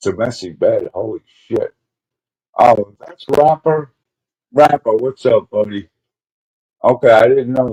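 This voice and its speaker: A man talks at a fairly slow pace with long, frequent pauses and big swings in loudness. The sound is dry and close, with no echo. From Brooklyn, New York, then Springfield, Illinois. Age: 60s. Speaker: live streamer. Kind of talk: casual chat. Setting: live stream. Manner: halting.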